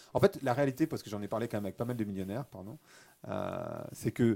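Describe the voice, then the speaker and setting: A man's dark, mellow tone with lively intonation. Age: 40s. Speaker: author and podcaster. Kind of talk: interview conversation. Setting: studio.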